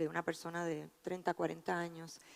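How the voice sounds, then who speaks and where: A woman with a Puerto Rican accent. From Puerto Rico. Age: 50s. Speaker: physician and researcher. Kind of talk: conference talk.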